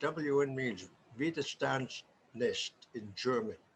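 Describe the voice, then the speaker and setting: A man with an American accent speaks at a very slow pace. Noticeable noise fills the background. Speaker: war veteran. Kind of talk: interview answer.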